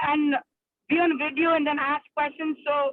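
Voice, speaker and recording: Her voice is high. The woman speaks at a moderate pace. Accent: Indian. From India. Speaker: psychiatrist. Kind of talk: casual chat. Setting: video call from a car while driving. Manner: halting, many fillers.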